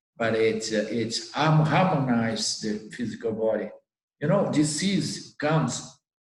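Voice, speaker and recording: A man at medium pitch with lively intonation, a fairly slow pace and audible room echo. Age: 60s. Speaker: spiritual teacher. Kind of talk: Q&A talk. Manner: halting.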